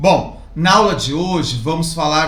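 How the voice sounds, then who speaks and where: Noticeable background noise and audible room echo are present in the recording. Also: man. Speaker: chemistry teacher. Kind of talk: tutorial.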